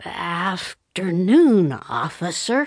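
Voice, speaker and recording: Mumbling in a put-on character voice, a woman of medium pitch makes very wide pitch swings. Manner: resigned, mumbling.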